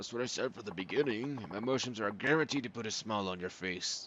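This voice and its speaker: A raspy, put-on character voice from a man at a medium pitch, delivered at a very fast pace. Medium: game stream. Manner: upbeat salesy.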